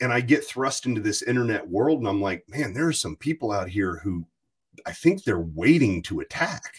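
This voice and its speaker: A man's somewhat breathy, medium-pitched voice at a moderate pace, with very wide pitch swings. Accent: American. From US South, rural Virginia. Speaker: podcast host. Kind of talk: casual chat.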